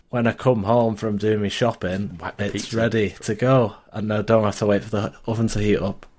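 A man with a Lancashire accent, fairly low in pitch, at a fairly quick pace with fairly even intonation, on a very clean recording with a silent background. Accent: northern English (Lancashire). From northern England (Lancashire). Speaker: IT support technician. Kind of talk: casual chat. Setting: VoIP call.

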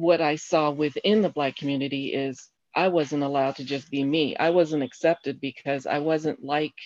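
A woman speaks with an American accent and a very deep, low pitch. Her intonation is fairly even, her pace is moderate, and the background is quiet. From Colorado Springs, Colorado. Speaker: guest, host's mother. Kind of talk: casual chat.

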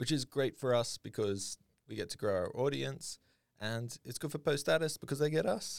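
An unremarkable speaking voice from a man, fairly high in pitch, at a moderate pace, with a dry, close sound and no echo. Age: 30s. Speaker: web developer podcast co-host. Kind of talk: casual chat.

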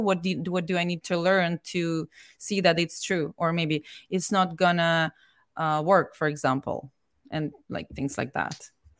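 A plain, everyday voice with ordinary pitch variation. The sound is dry and close, with no echo. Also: woman. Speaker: real estate investor. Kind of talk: interview. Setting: video call.

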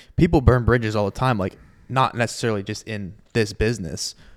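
A man with an American accent talks at a fairly quick pace in a normal speaking voice, fairly low in pitch with ordinary pitch variation. The recording is very clean, with a silent background. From US Southeast (Southwest Florida). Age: 20s. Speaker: podcast host, music industry worker. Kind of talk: casual interview chat. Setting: home recording.

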